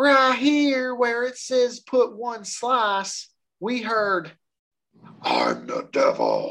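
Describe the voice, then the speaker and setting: A squeaky, put-on character voice that sounds female talks at a very slow pace and a high pitch. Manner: earnest, spooked.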